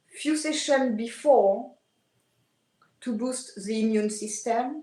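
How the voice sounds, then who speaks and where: The voice has a dark, mellow tone and ordinary pitch variation, with audible room echo. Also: woman. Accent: French. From France. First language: French. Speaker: aesthetician. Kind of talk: podcast interview. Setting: video call.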